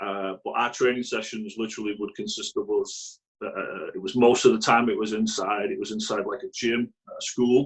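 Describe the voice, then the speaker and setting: A man with a Mancunian accent. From northern England, Greater Manchester (Radcliffe). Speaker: youth soccer coach. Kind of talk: interview. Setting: video call.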